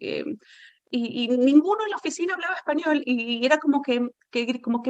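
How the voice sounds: At a moderate pace, a woman speaks with a fairly high pitch and ordinary pitch variation.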